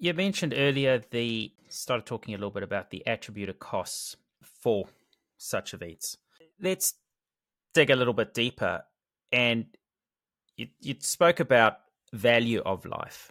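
Lively in intonation, a man with a New Zealand accent speaks at a fairly slow pace with long, frequent pauses. The sound is dry and close with no echo, in a very clean recording with a silent background. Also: medium pitch for a man. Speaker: podcast host. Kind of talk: interview. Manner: hesitant, many fillers.

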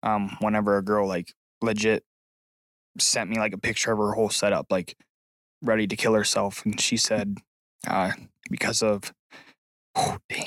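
With an American accent, a man talks at a moderate pace in a fairly low, monotone, flat voice with long, frequent pauses. The recording is very clean with a silent background and a dry, close sound with no echo. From Ohio, small town. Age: 20s. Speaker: former carpenter, social media creator. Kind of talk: casual chat. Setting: studio.

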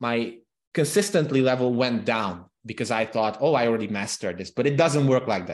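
A man with a Hungarian accent, ordinary pitch variation and a quiet background. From Transylvania, Romania (Hungarian minority). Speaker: copywriting consultant. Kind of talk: interview.

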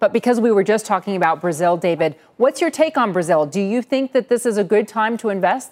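An unremarkable speaking voice: a woman with a medium pitch and lively intonation talks at a fairly quick pace with hardly any pauses and very even loudness, in a dry, close sound with no echo. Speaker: TV business news anchor. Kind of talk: live TV market news. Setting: TV studio.

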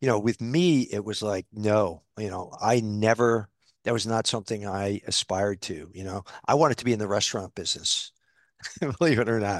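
A man speaks in an ordinary speaking voice with an American accent, his pitch fairly low and its variation ordinary. The pace is moderate, and the sound is dry and close with no echo against a quiet background. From upstate New York (Albany). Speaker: bank CEO. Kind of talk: interview conversation.

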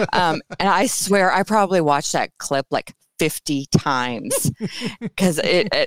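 In a plain, everyday voice, a woman speaks at a fairly slow pace with medium pitch and lively intonation, the sound dry and close with no echo. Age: 40s. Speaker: burlesque performer. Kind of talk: casual chat.

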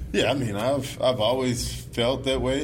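With a Southern US accent, a man swings his pitch very widely amid audible room echo and noticeable background noise. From US South, Mississippi. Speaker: baseball pitcher. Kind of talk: interview. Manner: halting, many fillers.

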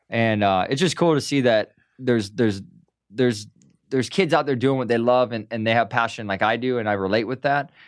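A man with an American accent and an ordinary speaking voice talks at a fairly quick pace and a medium pitch, with ordinary pitch variation and a quiet background. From US Midwest, Milwaukee, Wisconsin. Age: 30s. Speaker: pro skateboarder. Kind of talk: casual interview. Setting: studio. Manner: casual, filler-heavy.

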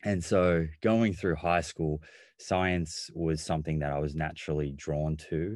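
A man with an Australian accent speaks at a very deep, low pitch and fairly slow pace, his intonation fairly even against a quiet background. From Australia, Melbourne. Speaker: nutritionist and physiotherapist. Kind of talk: interview.

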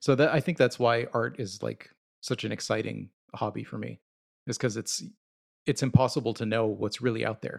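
Against a quiet background, a man talks at a fairly quick pace with vocal fry. His pitch is medium and his intonation fairly even. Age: 30s. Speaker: collector and podcast co-host. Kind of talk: casual chat.

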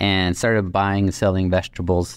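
A man speaks in a fairly low voice at a moderate pace. The recording is very clean with a silent background and a dry, close sound with no echo. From Mexico (Nuevo Laredo), later Guatemala. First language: Spanish. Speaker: nonprofit microfinance leader. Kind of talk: interview, personal story.

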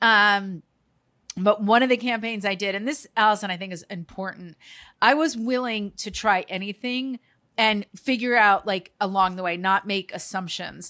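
A woman at medium pitch talks at a moderate pace in an animated, bright, sharp tone, with ordinary pitch variation and big swings in loudness. The recording is very clean with a silent background. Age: 50s. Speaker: TV host and lifestyle expert. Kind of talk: casual chat.

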